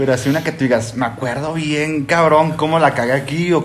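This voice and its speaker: There is noticeable background noise. Over it, a man talks very fast at a fairly high pitch, with fairly even intonation. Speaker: podcast host. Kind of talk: casual chat. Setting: home.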